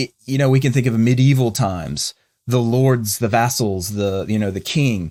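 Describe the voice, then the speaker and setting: A man of medium pitch speaks at a fairly slow pace with lively intonation. The sound is dry and close with no echo, and the recording is very clean with a silent background. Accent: Southern US. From US South, North Carolina. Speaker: podcast co-host. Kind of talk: conversational discussion. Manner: halting, many false starts.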